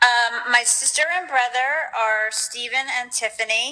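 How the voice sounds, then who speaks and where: Here a woman speaks with an American accent. Her pace is very slow. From Long Island, New York. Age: 40s. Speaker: family member. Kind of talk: interview.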